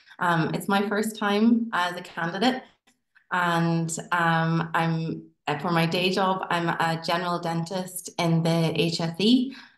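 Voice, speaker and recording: Speaking at a very slow pace in a Northern Irish accent, a woman with a fairly low voice uses ordinary pitch variation while the room's echo is audible. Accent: Tyrone. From Northern Ireland, County Tyrone. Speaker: dentist and local election candidate. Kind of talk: campaign speech.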